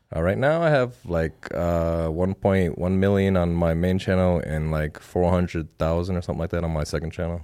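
On a very clean recording with a silent background, a man with an American accent speaks at a moderate pace, with hardly any pauses, in a dark, mellow tone at a very deep, low pitch with ordinary pitch variation. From US Midwest, Twin Cities, Minnesota. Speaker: YouTuber and photographer. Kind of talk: casual chat. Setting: studio. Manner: halting, many fillers.

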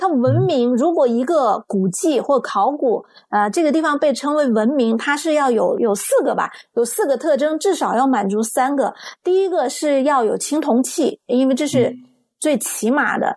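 A woman's high, animated voice at a moderate pace, lively in intonation and very even in loudness. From Sichuan, China. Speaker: talk show host. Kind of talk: casual talk show chat. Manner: animated, friendly.

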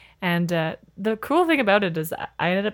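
A woman speaks in a very clean recording over a silent background. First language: French. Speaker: actor and teacher. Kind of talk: casual chat. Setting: studio, playing a video game while talking.

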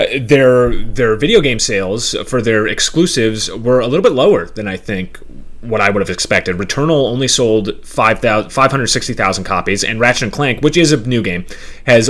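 With an unremarkable speaking voice, a man talks at a moderate pace with a medium pitch and ordinary pitch variation. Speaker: podcast host. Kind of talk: casual chat about video games.

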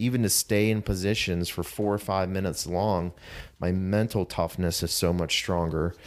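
In a very clean recording with a silent background, the speaker uses an American accent, a moderate pace, fairly even intonation and very even loudness. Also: man, very deep, low pitch for a man. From Pittsburgh area, US. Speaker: CrossFit coach. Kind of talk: interview.

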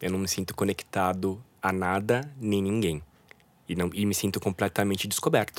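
A plain, everyday voice moves along at a moderate pace. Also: man, very clean recording, silent background. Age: 30s. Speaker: illustrator and art director. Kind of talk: interview about mental health.

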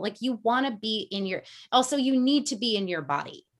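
In an American accent, a woman speaks at a fairly high pitch with very wide pitch swings. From US Northeast, Connecticut (Fairfield County). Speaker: energy coach. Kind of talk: casual interview. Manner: fast, with many fillers.

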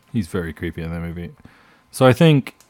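With a British accent, a man speaks at a fairly quick pace, and the sound is dry and close with no echo. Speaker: podcast host. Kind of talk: casual chat. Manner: joking, banter.

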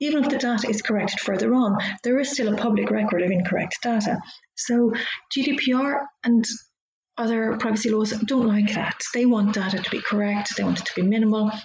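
A woman with a Dublin accent and a fairly high pitch talks at a fairly quick pace, with audible room echo. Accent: Irish (Dublin). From Ireland, Dublin. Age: middle-aged. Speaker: lawyer. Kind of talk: interview. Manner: animated.

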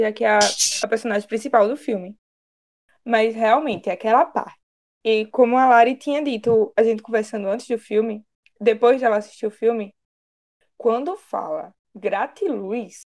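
A woman speaks at a fairly high pitch and a moderate pace, with ordinary pitch variation. Her speech has long, frequent pauses. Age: 20s. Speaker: podcast co-host. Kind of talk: casual chat.

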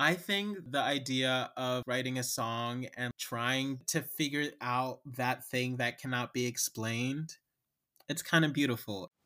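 With an American accent, a man speaks at a fairly slow pace in a bright, sharp tone, with a medium pitch and ordinary pitch variation. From Cincinnati, Ohio. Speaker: playwright and lyricist. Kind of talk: casual interview.

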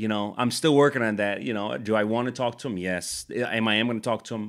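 A man with an ordinary speaking voice talks at medium pitch and a fairly quick pace, with ordinary pitch variation, in a very clean recording over a silent background. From Chicago, Puerto Rican community. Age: 30s. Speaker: nonprofit leader. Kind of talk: casual interview.

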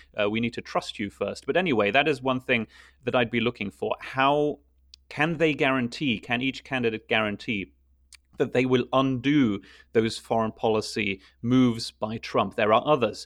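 A man's medium-pitched voice in a German accent, at a moderate pace with ordinary pitch variation, over a quiet background. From Luxembourg. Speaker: international news reporter. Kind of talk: political discussion podcast. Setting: remote call.

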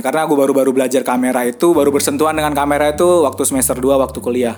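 Music plays in the background as a man speaks. His fairly high voice has a monotone, flat intonation. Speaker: podcast host and content creator. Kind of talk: casual solo monologue.

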